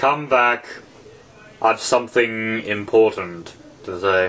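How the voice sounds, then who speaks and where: A man uses a put-on character voice at a medium pitch. He goes at a fairly slow pace with ordinary pitch variation. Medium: read story. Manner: terse, contradicting, short remarks.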